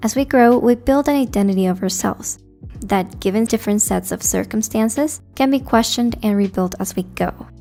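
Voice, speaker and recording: A woman's speech moves at a fairly quick pace while music plays in the background. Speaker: book reviewer. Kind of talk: book analysis video narration.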